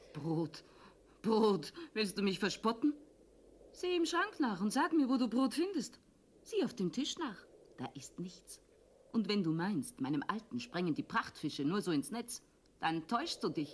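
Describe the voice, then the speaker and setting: A put-on character voice, female-sounding and rumbling, fairly high in pitch for a woman, with very wide pitch swings, a moderate pace and long, frequent pauses. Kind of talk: puppet theatre acting. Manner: grumbling, sharp-tongued, angry.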